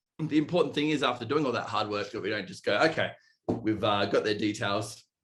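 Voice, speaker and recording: At a very fast pace, a man with an Australian accent speaks at a medium pitch with ordinary pitch variation. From Australia, east coast. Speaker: sales manager at a school software company. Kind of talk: podcast interview.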